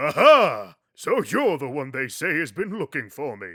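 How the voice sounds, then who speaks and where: A man speaks in a put-on character voice at a moderate pace. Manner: pompous, theatrical.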